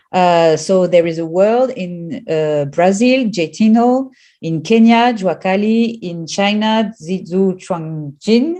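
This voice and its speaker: A woman talks at a very slow pace with hardly any pauses. Her tone is dark and mellow, with lively intonation. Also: medium pitch for a woman. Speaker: professor. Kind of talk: lecture. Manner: halting, many fillers.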